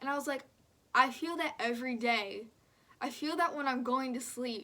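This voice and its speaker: Her voice is high and bright with a sharp tone, and this woman speaks at a moderate pace. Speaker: vlogger. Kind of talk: casual chat. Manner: animated.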